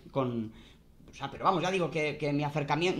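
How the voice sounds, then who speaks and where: A man talks fairly fast, his intonation lively. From Spain, Guadalajara; Spain. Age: 30s. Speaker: philosophy professor. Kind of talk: interview. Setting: video call. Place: home room. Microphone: webcam.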